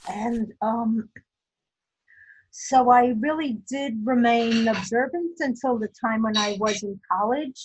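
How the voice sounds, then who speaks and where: A woman with a New York accent and a fairly high pitch speaks at a very slow pace, with ordinary pitch variation. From US Northeast, Brooklyn, New York. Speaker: interviewee, older adult. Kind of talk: life story interview. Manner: hesitant, many fillers.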